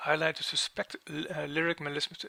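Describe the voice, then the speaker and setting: With a non-native accent, a man speaks at a moderate pace in a dry, close sound with no echo, over noticeable background noise. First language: not English. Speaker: music software tutor. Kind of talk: tutorial. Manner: halting.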